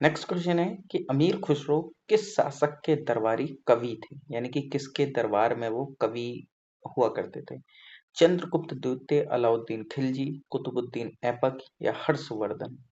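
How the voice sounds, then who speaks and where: His loudness swings widely as this man speaks at a fairly high pitch with ordinary pitch variation. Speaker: exam prep tutor. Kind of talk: tutorial. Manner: casual, conversational.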